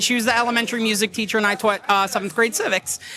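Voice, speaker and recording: A man with a New York accent speaks in a raised, projected voice over noticeable background noise. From Long Island, New York. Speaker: teacher and kava bar regular. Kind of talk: casual chat. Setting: live podcast at a kava bar.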